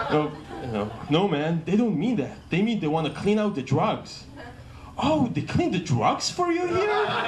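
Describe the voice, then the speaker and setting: Speaking with an Israeli accent at a high pitch, a man moves at a moderate pace with very wide pitch swings, amid noticeable background noise and audible room echo. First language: Hebrew. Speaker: comedian. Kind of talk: stand-up. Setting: stage with audience. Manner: halting.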